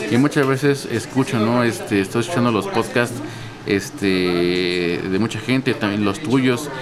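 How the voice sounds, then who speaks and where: A man with a Mexico City accent talks at a medium pitch with ordinary pitch variation over noticeable background noise. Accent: Mexico City Spanish (chilango). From Mexico City, Coyoacán. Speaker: coffee shop owner and roaster. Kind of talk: interview. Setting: coffee shop.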